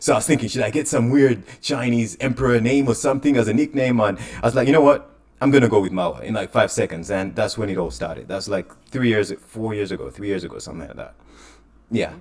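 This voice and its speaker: A man speaks very fast at medium pitch with ordinary pitch variation. His voice shows vocal fry and big swings in loudness. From Uganda. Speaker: crypto enthusiast, podcast guest. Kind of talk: casual interview. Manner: hesitant, many fillers.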